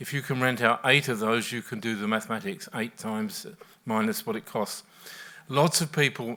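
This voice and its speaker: A man's voice has a bright, sharp tone. His pitch varies in an ordinary way. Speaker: professor. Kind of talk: panel discussion. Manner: soft-spoken.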